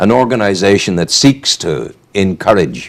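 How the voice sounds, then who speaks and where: A man with a Northern Irish accent. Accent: Northern Irish (Newry). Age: 70s. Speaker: radio host. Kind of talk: casual chat; reading aloud.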